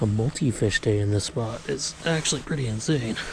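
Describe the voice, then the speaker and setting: Amid noticeable background noise, a man of medium pitch speaks at a moderate pace with lively intonation. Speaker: fishing video host. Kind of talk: casual outdoor vlog narration. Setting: outdoors by a river. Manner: quiet, keeping voice down.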